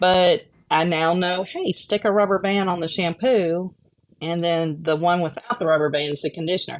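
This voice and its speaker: A woman with a Memphis accent speaks at a moderate pace, her fairly low voice fairly even in intonation. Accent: Southern US (Memphis). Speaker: vision rehabilitation instructor. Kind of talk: casual chat.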